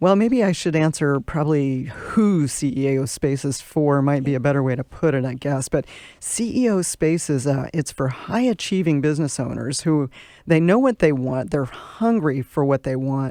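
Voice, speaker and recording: Against a quiet background, a woman with an American accent speaks in a very deep, low pitch with a dark, mellow tone, lively intonation and a moderate pace. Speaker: business club president. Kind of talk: radio interview. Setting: studio.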